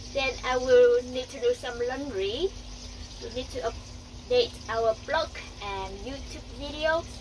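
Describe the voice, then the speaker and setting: A woman speaks at a very slow pace. There is noticeable background noise behind her. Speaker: boat life vlogger. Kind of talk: casual vlog chat. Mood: cheerful, smiling. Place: boat. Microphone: phone near.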